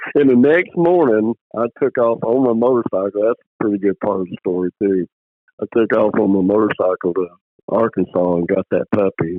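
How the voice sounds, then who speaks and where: Lively intonation runs through this man's fairly low-pitched voice. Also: moderate pace. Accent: Mississippi. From US South, Mississippi (near Picayune). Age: 60s. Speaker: squirrel dog breeder, retired space program worker. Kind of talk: casual interview, storytelling. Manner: animated storytelling, repeats words.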